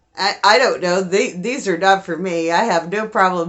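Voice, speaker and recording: A woman at a medium pitch and moderate pace over noticeable background noise. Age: 50s. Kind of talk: casual haul video chat. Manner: halting, self-correcting.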